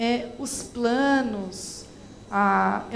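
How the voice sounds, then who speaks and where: A woman speaks with a São Paulo accent. Noticeable background noise and audible room echo are present. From São Paulo, Brazil. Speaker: education expert. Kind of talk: lecture Q&A.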